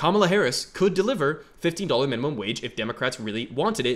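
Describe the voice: A man speaks at a fast pace with a medium pitch. His pitch swings widely.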